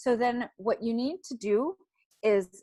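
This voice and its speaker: An unremarkable speaking voice with ordinary pitch variation comes through with a dry, close sound with no echo. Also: woman. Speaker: social media marketing instructor. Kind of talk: webinar tutorial.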